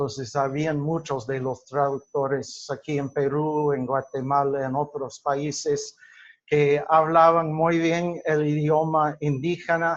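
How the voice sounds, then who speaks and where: In a non-native accent, a man speaks at a very slow pace. His fairly high voice stays monotone and flat. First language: English (speaking Spanish). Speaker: linguistics teacher. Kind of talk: lecture. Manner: halting, many fillers and self-corrections.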